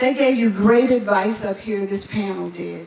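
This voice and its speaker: A woman is heard with audible room echo. Noticeable background noise is present. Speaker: nonprofit leader. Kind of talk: motivational speech. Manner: fast; animated.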